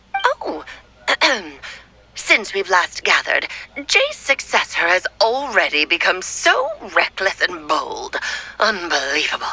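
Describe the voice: Using a put-on character voice at a medium pitch, a woman speaks at a fairly slow pace with long, frequent pauses.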